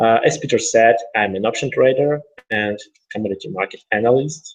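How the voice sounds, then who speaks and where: This man has a Russian accent and a medium pitch. He speaks at a fairly quick pace with ordinary pitch variation. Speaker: trader and educator. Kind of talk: webinar presentation. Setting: online webinar.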